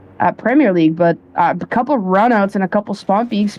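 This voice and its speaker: A woman speaks at a medium pitch. Her pace is fairly quick. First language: not English. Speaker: esports caster. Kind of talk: live commentary.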